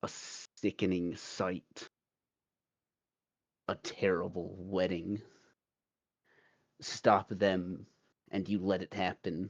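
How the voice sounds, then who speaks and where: A man's put-on character voice, raspy and rumbling, at a very deep, low pitch, in a monotone, flat intonation at a very slow pace. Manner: foreboding.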